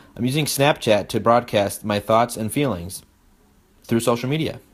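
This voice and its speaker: Moderate pace and ordinary pitch variation in a man's medium-pitched voice. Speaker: student presenter. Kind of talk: class presentation. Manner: halting.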